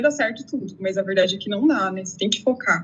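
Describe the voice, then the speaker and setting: Against noticeable background noise, a woman with a fairly high pitch and ordinary pitch variation talks at a very fast pace. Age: 30s. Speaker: exam candidate, interviewee. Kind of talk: interview testimony.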